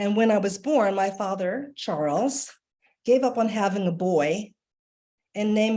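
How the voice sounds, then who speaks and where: This is a plain, everyday voice: a woman with an American accent, medium in pitch, with ordinary pitch variation. She speaks at a moderate pace against a quiet background. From Washington, D.C., US. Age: 60s. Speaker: artist and art educator. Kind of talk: presentation. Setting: video call.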